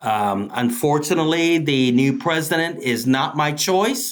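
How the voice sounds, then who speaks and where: This man has a fairly high pitch and an American accent. He talks at a fairly slow pace with ordinary pitch variation. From East Austin, Texas. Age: 60s. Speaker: local historian and tour guide. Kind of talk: interview. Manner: halting, many repetitions.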